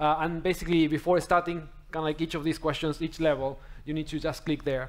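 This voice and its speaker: Very fast speech comes from a man. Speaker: conference speaker. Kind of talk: tech talk demo explanation. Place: hall.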